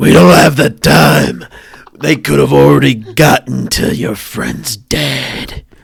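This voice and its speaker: In a put-on character voice, a man speaks raspy and fairly slow at a very deep, low pitch with very wide pitch swings. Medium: actual play. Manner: menacing, laughing.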